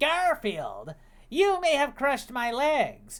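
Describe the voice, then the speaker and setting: A put-on character voice, pitched high. The words come out at a very slow pace. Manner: exaggerated, melodramatic, evil.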